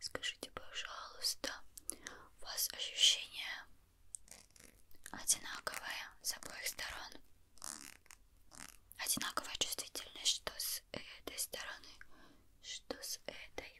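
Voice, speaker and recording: The speaker whispers at a very slow pace, with long, frequent pauses. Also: woman. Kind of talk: ASMR roleplay, soft-spoken. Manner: soft ASMR doctor voice. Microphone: studio mic.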